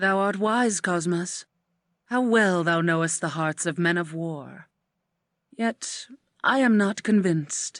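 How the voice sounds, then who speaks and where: In a put-on character voice at a middle pitch, the speaker goes fairly slowly with long, frequent pauses over a quiet background. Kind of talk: archaic theatrical speech. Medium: video game. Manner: measured, imperious.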